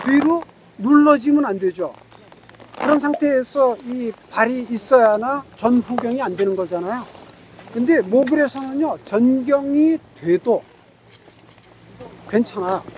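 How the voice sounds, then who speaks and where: Background noise is noticeable as a man talks at a very slow pace with an extremely high pitch and ordinary pitch variation. He leaves long, frequent pauses. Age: 70s. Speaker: ski instructor. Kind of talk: lesson.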